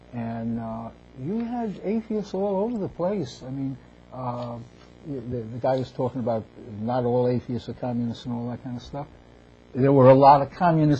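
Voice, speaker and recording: A man talks at a moderate pace with medium pitch. His tone is dark and mellow, and somewhat breathy. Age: 70s. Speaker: author. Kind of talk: casual chat. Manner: halting.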